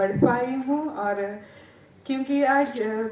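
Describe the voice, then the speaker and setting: A woman speaks with a Sri Lankan accent and fairly even intonation. Audible room echo and noticeable background noise are present. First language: Sinhala (speaking Hindi). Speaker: Hindi teacher and award recipient. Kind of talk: acceptance speech. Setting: stage with audience. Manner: halting, many fillers.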